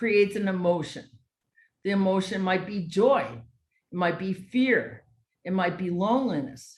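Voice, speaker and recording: There is audible room echo around this somewhat breathy woman's voice. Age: 60s. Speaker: educator and social entrepreneur. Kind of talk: motivational talk.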